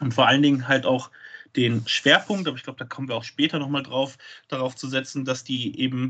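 At a fairly quick pace, an ordinary speaking voice talks. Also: man. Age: 20s. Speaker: wrestling promoter. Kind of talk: podcast interview.

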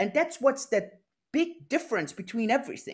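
Lively in intonation, a man speaks with a German accent. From Austria, Innsbruck. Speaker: blockchain entrepreneur. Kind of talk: interview. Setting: video call. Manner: halting, many repetitions.

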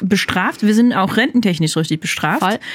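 Very fast speech comes from a woman whose pitch is fairly high. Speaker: podcast host for a church channel. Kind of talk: casual interview chat.

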